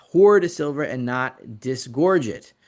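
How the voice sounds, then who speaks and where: Behind the voice, everything is quiet. It belongs to a man. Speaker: financial commentator on precious metals. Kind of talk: market analysis video explaining charts. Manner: fast.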